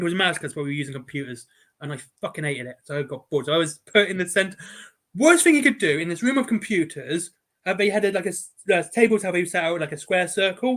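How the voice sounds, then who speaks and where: In an English accent, a man talks very fast at a high pitch with lively intonation. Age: 40s. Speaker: podcast host. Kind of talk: casual chat.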